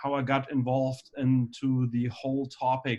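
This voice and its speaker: A man at medium pitch speaks with monotone, flat intonation. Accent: slight German. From Germany. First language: German. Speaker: anesthesiologist. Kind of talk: lecture. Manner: halting, many fillers.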